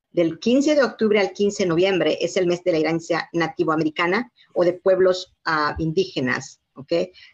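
Using a plain, everyday voice, a woman talks at a moderate pace with hardly any pauses, fairly low pitch and ordinary pitch variation. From Mexico, Yucatán. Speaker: community leader, foundation president. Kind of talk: live interview. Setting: video call. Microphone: weak wifi connection.

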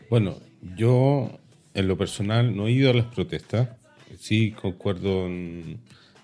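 Male voice with ordinary pitch variation, music in the background. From Chile. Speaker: podcast co-host. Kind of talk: casual chat.

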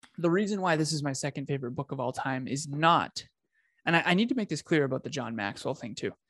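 Against a quiet background, a man with an unremarkable speaking voice talks at a fairly quick pace, fairly high in pitch and with lively intonation, the sound dry and close with no echo. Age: 30s. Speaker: business coach. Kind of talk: casual chat.

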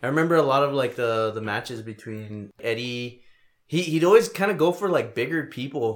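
This man has a normal speaking voice with an American accent, medium pitch, lively intonation and a fairly quick pace. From El Paso, Texas. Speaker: podcast host. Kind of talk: mock wrestling ring-announcer intro, podcast opening.

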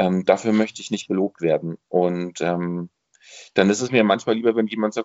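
The speaker is a man with a plain, everyday voice. His pitch variation is ordinary. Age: 40s. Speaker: amateur theatre director and bookseller. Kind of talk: casual chat. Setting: video call.

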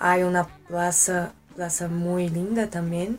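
Speaking very slowly, a woman has a fairly low pitch and a Portuguese accent. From Brasília, Brazil. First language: Portuguese (speaking Spanish). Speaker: exchange student. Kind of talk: casual interview. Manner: halting.

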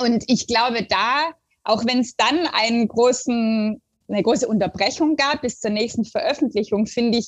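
Here a woman has an unremarkable speaking voice. She talks at a fairly slow pace with ordinary pitch variation. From southern Germany (Stuttgart area). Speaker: literature professor. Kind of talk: academic interview. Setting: remote call.

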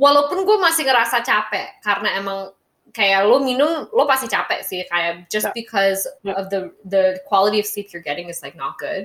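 The delivery is fairly quick and animated, with lively intonation and big swings in loudness. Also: woman, fairly high pitch for a woman. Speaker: podcast co-host. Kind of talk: casual chat, English-Indonesian code-switching.

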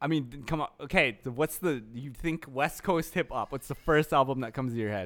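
A man talks at a fairly quick pace in a plain, everyday voice. His pitch is fairly high, with ordinary variation. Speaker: podcast co-host. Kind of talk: casual chat. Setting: video call. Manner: casual.

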